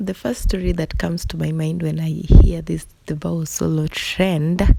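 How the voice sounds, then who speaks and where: Against noticeable background noise, a woman speaks quietly and at a very slow pace. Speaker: beauty vlogger. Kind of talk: storytime voiceover over makeup tutorial. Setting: recorded at night. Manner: low, quiet voice; casual, conversational.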